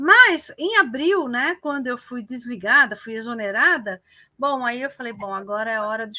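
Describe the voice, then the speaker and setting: Raised, projected voice with a bright, sharp tone and very wide pitch swings. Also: woman, very clean recording, silent background. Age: 60s. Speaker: retired teacher and librarian, activist. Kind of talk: interview. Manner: halting, many fillers.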